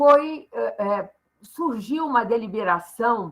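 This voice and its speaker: This woman's voice sits high. She has a bright, sharp tone. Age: 70s. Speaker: social sciences professor. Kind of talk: guest talk.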